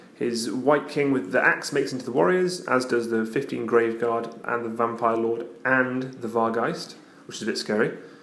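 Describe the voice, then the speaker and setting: Quiet, with hardly any pauses, a man speaks at a medium pitch with ordinary pitch variation over noticeable background noise. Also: moderate pace. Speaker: tabletop wargaming battle report presenter. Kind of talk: casual battle report narration. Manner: quiet, subdued.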